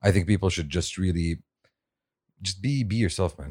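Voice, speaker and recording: In a very clean recording with a silent background, a man speaks with a very deep, low pitch and a somewhat breathy voice. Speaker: podcast host. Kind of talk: casual banter.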